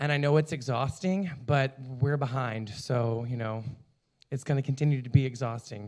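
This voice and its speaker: Over a silent background in a very clean recording, the speaker talks at a moderate pace with fairly even intonation. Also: man. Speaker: communications committee member. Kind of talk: committee report at a meeting. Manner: loud.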